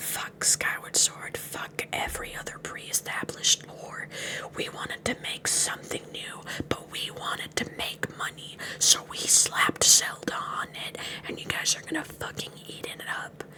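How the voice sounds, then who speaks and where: A woman whispers at a fairly slow pace with big swings in loudness against noticeable background noise. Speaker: VTuber. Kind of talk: ASMR girlfriend roleplay, improvised rant. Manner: casual, ranting, animated.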